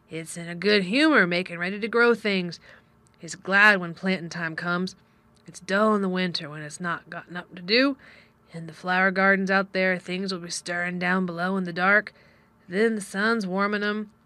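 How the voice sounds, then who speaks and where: A woman's gruff, put-on character voice at a medium pitch, moderate pace and fairly even intonation, with big swings in loudness. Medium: read story. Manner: gruff, blunt.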